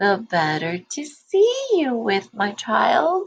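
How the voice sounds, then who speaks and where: A woman puts on a character voice, pitched fairly high. She speaks at a very slow pace. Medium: read story. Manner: gentle, sweetly coaxing.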